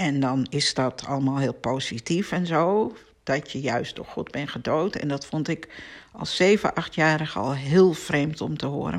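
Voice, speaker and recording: A woman at a very slow pace on a very clean recording with a silent background. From Amsterdam, Netherlands. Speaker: podcast host, spiritual teacher. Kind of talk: personal monologue. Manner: hesitant with filler words.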